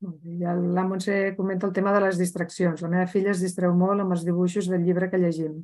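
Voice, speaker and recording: A woman with a dark, mellow tone and medium pitch speaks at a fairly quick pace in a monotone, flat intonation, with hardly any pauses. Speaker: webinar organizer/moderator. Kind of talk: webinar introduction. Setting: video call webinar.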